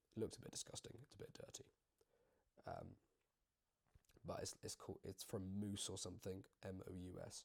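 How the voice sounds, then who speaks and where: Speaking with a British accent, a man keeps up a fairly quick pace. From UK. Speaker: YouTuber. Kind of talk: casual chat. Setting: home video recording. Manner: rambling, filler-heavy casual talk.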